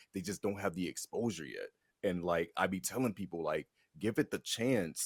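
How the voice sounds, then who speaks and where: In a very clean recording with a silent background and a dry, close sound with no echo, a man with a fairly low pitch speaks in an animated tone at a moderate pace. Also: ordinary pitch variation. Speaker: fighting game commentator and event host. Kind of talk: casual interview chat.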